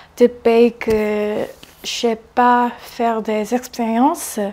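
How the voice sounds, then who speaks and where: At a very slow pace, a woman speaks in a monotone, flat intonation. Her fairly high pitch comes with a dark, mellow tone. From South Korea. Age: 20s. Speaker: interviewee. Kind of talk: interview.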